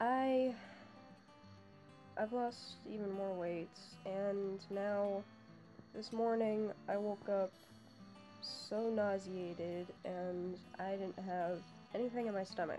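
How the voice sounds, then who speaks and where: Quiet, mumbled speech comes at a very slow pace with fairly even intonation and long, frequent pauses, with music in the background. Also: woman, medium pitch for a woman. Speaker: vlogger. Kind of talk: casual talk to camera. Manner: mumbling, quiet.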